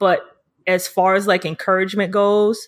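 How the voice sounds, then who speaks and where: A woman with a New York accent is heard on a very clean recording with a silent background. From New York City, Harlem. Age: 30s. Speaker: photographer. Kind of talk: casual chat.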